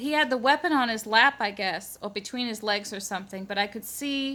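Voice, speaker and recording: A woman with an American accent speaks at a fairly high pitch in a bright, sharp tone, with ordinary pitch variation. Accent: Massachusetts accent, comes out when nervous. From Massachusetts. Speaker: eyewitness vlogger. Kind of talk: personal testimony. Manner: rambling, hesitant.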